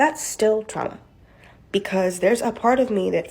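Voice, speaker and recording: The speaker talks at a fairly quick pace with vocal fry. Pitch varies in an ordinary way. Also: woman. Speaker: mental health content creator. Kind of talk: casual monologue. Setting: TikTok video. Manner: fast.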